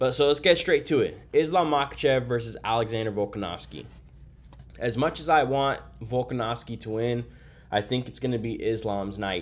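A man speaks at a medium pitch and a moderate pace. His voice has vocal fry and ordinary pitch variation. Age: 30s. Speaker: MMA podcast host. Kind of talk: casual solo fight breakdown. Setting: hotel room. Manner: casual, filler-heavy.

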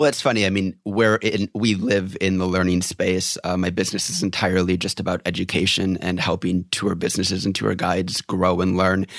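Very deep and low in pitch, a man talks at a fairly quick pace with hardly any pauses. His intonation is monotone and flat, his loudness very even. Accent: American. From rural Wisconsin, US. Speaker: tour guide trainer. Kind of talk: casual interview.

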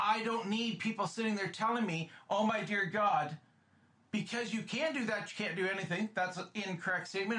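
Over noticeable background noise, someone talks in a raised, projected voice at a moderate pace with ordinary pitch variation. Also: man. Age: 50s. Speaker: podcast co-host. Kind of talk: casual chat. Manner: animated.

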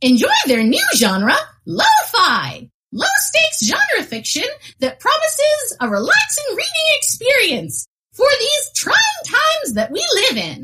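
The speaker puts on a character voice and goes at a fairly slow pace. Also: female-sounding voice, extremely high pitch for a woman. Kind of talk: mock commercial read. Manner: polite, earnest.

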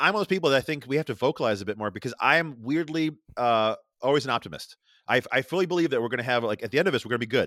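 Very fast and with lively intonation, someone speaks with an American accent on a very clean recording with a silent background and a dry, close sound with no echo. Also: man, medium pitch for a man. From upstate New York, rural area near Rochester. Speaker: artist and podcaster. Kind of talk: casual interview conversation. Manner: fast talker; excitable, stumbles over words.

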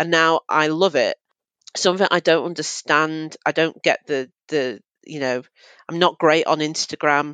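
A woman speaks with a Mancunian accent and a very deep, low pitch, her intonation fairly even. The sound is dry and close with no echo, over a quiet background. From Manchester, England. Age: 30s. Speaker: journalist and drag king. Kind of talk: casual interview chat.

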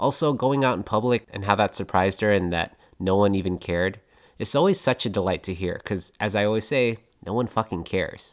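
A plain, everyday voice with ordinary pitch variation at a fairly quick pace, on a very clean recording with a silent background. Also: man, fairly low pitch for a man. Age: young. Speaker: podcast host. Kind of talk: podcast host chat and narration.

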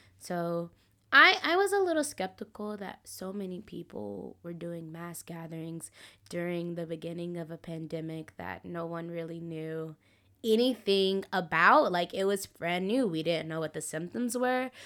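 On a very clean recording with a silent background, a voice with an American accent and a bright, sharp tone moves at a moderate pace, with ordinary pitch variation and big swings in loudness. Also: woman, fairly low pitch for a woman. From US South. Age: 20s. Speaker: podcast guest. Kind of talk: casual chat.

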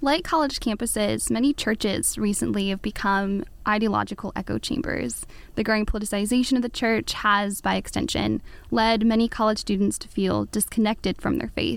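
Fairly quick speech from a woman, very cleanly recorded over a silent background. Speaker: college student interviewer. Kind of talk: interview questions. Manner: read from script.

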